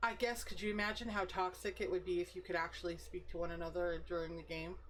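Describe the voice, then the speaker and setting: A woman talks at a very fast pace. There is noticeable background noise. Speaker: game streamer. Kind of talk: casual chat. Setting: live stream. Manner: talkative.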